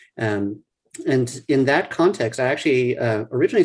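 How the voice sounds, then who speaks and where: Somewhat breathy, a man talks at medium pitch with an American accent. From US South, New Orleans. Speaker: neurologist. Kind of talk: interview.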